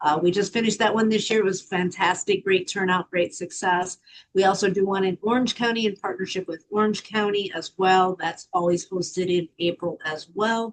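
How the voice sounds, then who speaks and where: A woman talks with hardly any pauses and fairly even intonation. The sound is dry and close, with no echo. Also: medium pitch for a woman. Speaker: nonprofit founder and crime victim advocate. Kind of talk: presentation to a service club. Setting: video call. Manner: fast.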